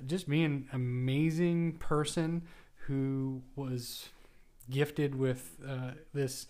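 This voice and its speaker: A man's normal speaking voice, medium in pitch, with fairly even intonation. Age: 40s. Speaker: hockey book podcast host. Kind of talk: casual monologue.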